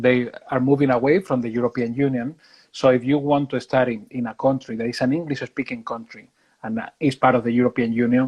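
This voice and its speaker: The speaker has a Spanish accent. Delivery is fairly quick, with fairly even intonation. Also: man, medium pitch for a man. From Spain. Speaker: university recruitment manager. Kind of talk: interview. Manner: halting with repetitions.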